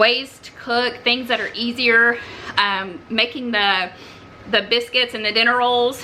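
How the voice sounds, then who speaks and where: With a Southern US accent, a woman speaks at a moderate pace, her fairly high pitch carried in fairly even intonation over noticeable background noise. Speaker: homesteading cooking vlogger. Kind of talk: cooking tutorial. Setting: home kitchen. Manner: casual, halting with fillers.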